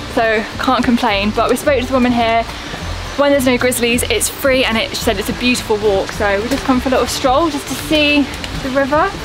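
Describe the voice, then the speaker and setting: Over clear background music, a woman talks at a very fast pace in a high voice with ordinary pitch variation. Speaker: travel vlogger. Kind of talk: casual vlog chat. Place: forest. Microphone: phone near.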